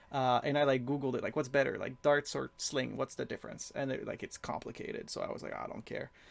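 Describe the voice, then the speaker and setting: The speech runs at a very fast pace. There are hardly any pauses. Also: man. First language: not English. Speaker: video game streamer. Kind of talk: live gameplay stream commentary. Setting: live stream with chat. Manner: halting.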